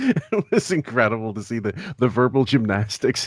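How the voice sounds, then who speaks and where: At a moderate pace, the voice makes very wide pitch swings in a dry, close sound with no echo. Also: man. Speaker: podcast co-host. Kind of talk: casual chat.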